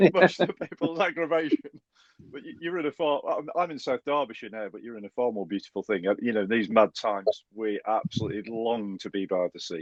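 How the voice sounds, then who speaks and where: In a dry, close recording with no echo, a man with a Stoke accent speaks fairly quickly at medium pitch, with very wide pitch swings and big swings in loudness. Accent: Stoke-on-Trent. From Stoke-on-Trent, English Midlands. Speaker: podcast host. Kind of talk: podcast interview.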